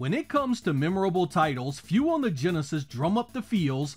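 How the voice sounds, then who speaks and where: A man at a moderate pace with lively intonation, music in the background. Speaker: retro game reviewer. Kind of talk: scripted video game review narration.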